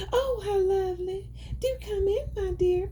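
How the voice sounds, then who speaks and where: Using a squeaky, put-on character voice, the speaker goes at a moderate pace over clear background noise. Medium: read story.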